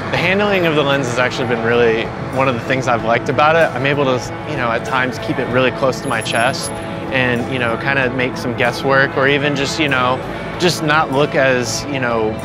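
The sound is dry with no echo. Music plays clearly in the background. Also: man, fairly quick pace. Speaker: photographer reviewing a lens. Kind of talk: interview answer. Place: street.

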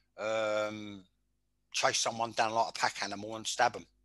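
A man speaks in a bright, sharp tone against a quiet background. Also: dry sound with no echo. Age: 60s. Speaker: former football manager; interviewee, podcaster. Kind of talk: casual interview. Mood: opinionated, forceful. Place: home room. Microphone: headset.

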